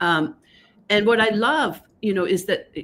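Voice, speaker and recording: With a Danish accent, a woman speaks at a moderate pace with lively intonation, recorded very cleanly against a silent background. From Denmark, Copenhagen. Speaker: author and gender researcher. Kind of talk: interview on a live stream.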